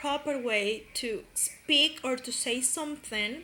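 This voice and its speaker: A woman with a Spanish accent speaks at a very slow pace in a raised, projected voice. Her pitch is high, with ordinary variation. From Colombia, Pereira. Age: 20s. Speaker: university student. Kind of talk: class presentation. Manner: halting, many fillers.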